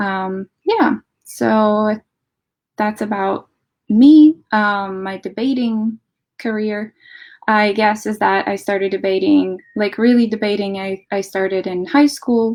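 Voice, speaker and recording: Very slowly and with fairly even intonation, a woman speaks in a fairly high voice with a Latvian accent on a very clean recording with a silent background. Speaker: debate coach. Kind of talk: lecture.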